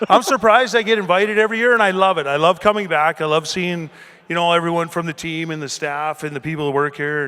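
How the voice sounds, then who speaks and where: An animated man talks at a very fast pace in a high voice. His tone is bright and sharp, with ordinary pitch variation. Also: very clean recording, silent background. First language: not English. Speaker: retired hockey player. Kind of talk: casual chat.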